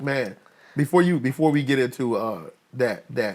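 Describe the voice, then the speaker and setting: A man speaks at a moderate pace with medium pitch. He has an unremarkable speaking voice. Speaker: podcast host. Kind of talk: casual interview talk.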